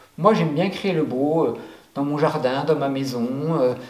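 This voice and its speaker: Over noticeable background noise and audible room echo, a man with a fairly high voice talks at a moderate pace with lively intonation. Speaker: life coach. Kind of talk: motivational talk. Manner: hesitant, many fillers.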